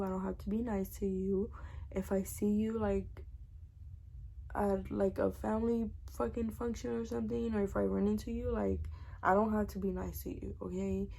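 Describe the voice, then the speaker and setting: The room echo is audible. A woman speaks at a moderate pace. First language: Spanish. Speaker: storytime vlogger. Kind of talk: casual storytelling monologue. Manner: animated.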